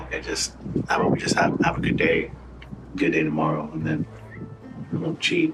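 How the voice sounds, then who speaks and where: A man amid noticeable background noise. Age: 30s. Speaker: reality TV participant. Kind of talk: casual chat and confessional interview.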